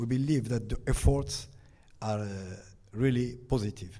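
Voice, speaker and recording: A dark, mellow tone with fairly even intonation and audible room echo. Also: man. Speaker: ambassador. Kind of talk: panel discussion. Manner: halting.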